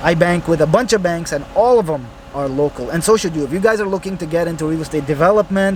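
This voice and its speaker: Through noticeable background noise, a man with a high pitch talks at a very fast pace. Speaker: real estate investor and vlogger. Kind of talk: casual vlog narration. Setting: car wash waiting area.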